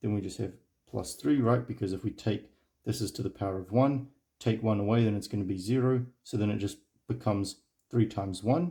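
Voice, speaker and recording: On a very clean recording with a silent background, a man's voice sounds dark, mellow and somewhat breathy. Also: fairly low pitch for a man, ordinary pitch variation, fairly quick pace. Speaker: math tutor. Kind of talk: tutorial.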